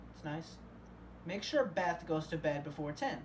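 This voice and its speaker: Against noticeable background noise and audible room echo, a woman talks fairly quickly at a fairly low pitch. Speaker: YouTuber reacting to videos. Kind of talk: casual reaction commentary.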